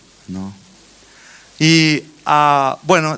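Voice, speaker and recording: With a Brazilian accent, a man speaks in a lively, varied intonation. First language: Portuguese (speaking Spanish). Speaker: children's ministry teacher. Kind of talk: conference talk. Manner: halting, many fillers and restarts.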